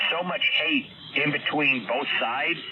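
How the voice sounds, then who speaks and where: A man speaks. Noticeable background noise sits behind him. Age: 60s. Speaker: amateur radio operator. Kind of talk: casual on-air chat.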